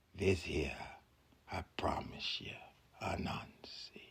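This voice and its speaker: A man whispers in a put-on character voice, going at a very slow pace. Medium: read story.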